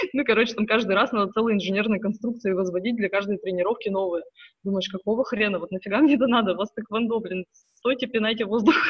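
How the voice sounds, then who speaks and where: A woman rattles along at a very fast speed, her fairly high voice holding a fairly even intonation. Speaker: emigrant parent. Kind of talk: casual chat.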